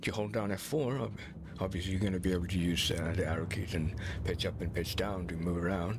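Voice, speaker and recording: A man with a very deep, low pitch talks at a very fast pace, somewhat breathy, with ordinary pitch variation. Audible room echo surrounds his voice. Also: very even loudness. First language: Swedish. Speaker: video game streamer. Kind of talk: gameplay commentary. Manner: hesitant, searching for words.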